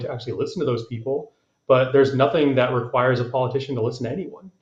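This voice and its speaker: A somewhat breathy man of medium pitch with fairly even intonation. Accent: American. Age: 30s. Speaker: congressional candidate. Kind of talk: panel discussion. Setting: live stream.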